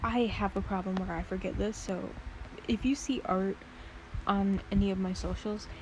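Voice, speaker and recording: The speaker keeps a moderate pace. Noticeable background noise is present. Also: woman. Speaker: art content creator. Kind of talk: casual drawing vlog. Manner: soft-spoken; hesitant, many fillers.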